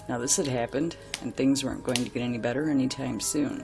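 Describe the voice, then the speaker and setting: The pace is very fast. Music plays in the background. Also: woman. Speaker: story narrator. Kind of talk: campfire horror story reading. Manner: some words pronounced unusually after relearning to speak.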